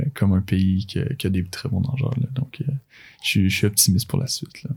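A man speaks in a fairly low pitch with a Quebec accent and ordinary pitch variation. His voice is somewhat breathy, with a dark, mellow tone. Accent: Québécois French. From Quebec, Laurentides (Blainville). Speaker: university swimmer and physiotherapy student. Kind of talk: casual interview. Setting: studio. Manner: halting, with many repetitions and fillers.

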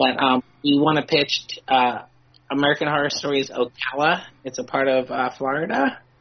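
The speech moves at a moderate pace. Background noise is noticeable throughout. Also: woman. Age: 40s. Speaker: comic book creator. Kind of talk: casual chat. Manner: halting.

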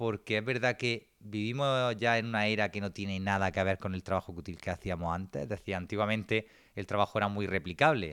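A man's fairly low-pitched, unremarkable speaking voice with ordinary pitch variation. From Granada, Andalusia, Spain. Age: 20s. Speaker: business consultant and entrepreneur. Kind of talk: online seminar lecture.

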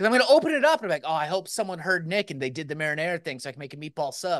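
Animated and bright with a sharp tone, a man's raised, projected voice makes very wide pitch swings. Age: 30s. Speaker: podcast co-host. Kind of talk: casual chat.

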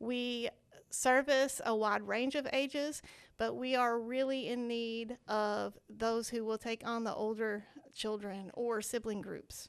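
A woman with a Southern US accent, fairly high pitch, fairly even intonation and a very slow pace. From Arkansas (Searcy area). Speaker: children's ministry outreach director. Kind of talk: casual interview.

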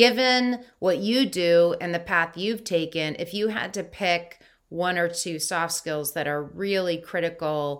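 Over a silent background in a very clean recording, a woman talks at a fairly slow pace with ordinary pitch variation. She has an unremarkable speaking voice pitched fairly low. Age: 50s. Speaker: podcast host. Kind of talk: interview conversation.

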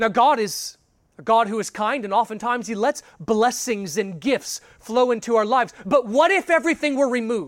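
A man's extremely high voice with lively intonation on a very clean recording with a silent background. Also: moderate pace. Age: 30s. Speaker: pastor. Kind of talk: sermon.

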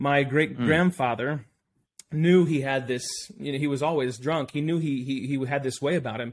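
A man with an American accent has a plain, everyday voice and fairly even intonation. The recording is very clean, with a silent background. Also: fairly high pitch for a man, moderate pace. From United States. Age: 30s. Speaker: missionary. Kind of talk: casual interview.

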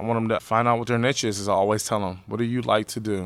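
A man with an American accent, a normal speaking voice, fairly low pitch, fairly even intonation and a fairly quick pace. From Pittsburgh area, Pennsylvania (Braddock). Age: 20s. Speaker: teacher. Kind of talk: oral history interview.

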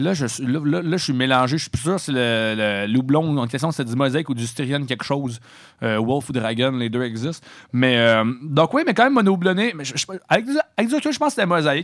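Using a normal speaking voice, a man with fairly high pitch talks at a moderate pace with lively intonation. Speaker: college radio host. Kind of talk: casual chat. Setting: radio studio.

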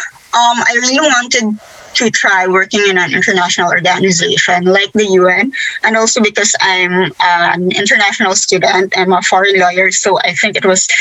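Moderate pace in a Philippine accent, with ordinary pitch variation and noticeable background noise. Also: woman. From Philippines. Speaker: lawyer.

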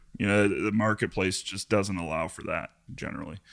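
Speaking fairly quickly with an American accent, a man with a fairly low pitch has a bright, sharp tone, heard in a very clean recording with a silent background. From Iowa. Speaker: real estate broker. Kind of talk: casual interview.

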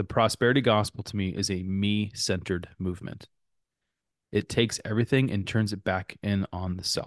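Against a quiet background, a man with an ordinary speaking voice talks at a moderate pace in a fairly low pitch. The sound is dry and close with no echo, and his intonation stays fairly even. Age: 40s. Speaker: pastor. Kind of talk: casual chat. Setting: remote recording.

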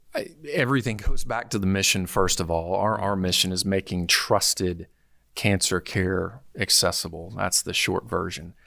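Recorded very cleanly against a silent background, a man speaks with a very deep, low pitch and a bright, sharp tone. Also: ordinary pitch variation, moderate pace. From Arkansas, North Little Rock. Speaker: healthcare executive. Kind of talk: interview.

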